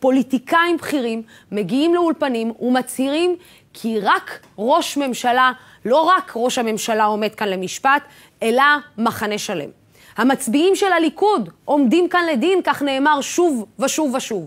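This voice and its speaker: A woman speaks in a high pitch at a fairly slow pace. Her pitch swings very widely. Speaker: TV host. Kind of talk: TV news opinion monologue. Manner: impassioned, rhetorical. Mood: serious, pointed, rhetorical. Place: studio.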